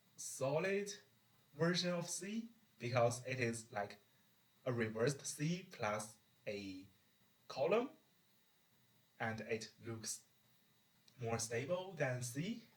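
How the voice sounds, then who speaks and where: A man speaks very slowly with a non-native accent, somewhat breathy, his pitch swinging very widely. Long pauses come often. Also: medium pitch for a man. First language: not English. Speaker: video creator. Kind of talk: casual monologue explanation. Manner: halting, self-correcting.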